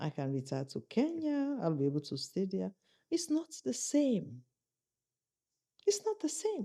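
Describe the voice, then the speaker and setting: A woman with a fairly high pitch and a dark, mellow, somewhat breathy tone speaks at a fairly slow pace, her pitch swinging very widely between long, frequent pauses. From Sierra Leone. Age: 60s. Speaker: senior UN official, former presidential aspirant. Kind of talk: interview. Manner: animated.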